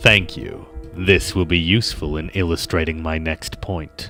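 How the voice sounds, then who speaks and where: A man uses a put-on character voice at a moderate pace. His pitch is very deep and low, with clear music in the background. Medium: game stream. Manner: cold, controlled, menacing.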